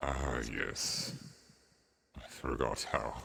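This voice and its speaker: Very deep, low-pitched, a man doing a put-on character voice. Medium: actual play. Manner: slow, formal, grandfatherly.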